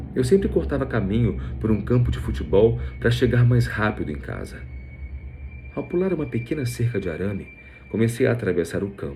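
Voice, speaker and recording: Over music in the background and audible room echo, a man with a fairly low pitch talks at a fairly quick pace, his pitch swinging very widely between long, frequent pauses. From Brazil, Rio de Janeiro. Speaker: voice actor and narrator. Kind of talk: scripted narration.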